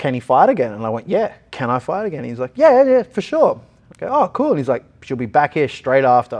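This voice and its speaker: Fairly quick delivery from a man with an Australian accent. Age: 20s. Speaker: mixed martial artist. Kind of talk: casual interview.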